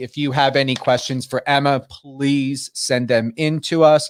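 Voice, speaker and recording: At a fairly slow pace, someone speaks with a New Jersey accent in a very clean recording with a silent background. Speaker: radio talk show host. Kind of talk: live radio interview. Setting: radio studio, live stream. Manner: animated, enthusiastic.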